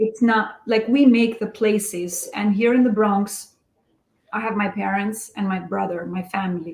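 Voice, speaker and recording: Her delivery is somewhat breathy, at a medium pitch with fairly even intonation. The woman keeps a moderate pace. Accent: Albanian. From Albania. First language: Albanian. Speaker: real estate investor. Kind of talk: podcast interview.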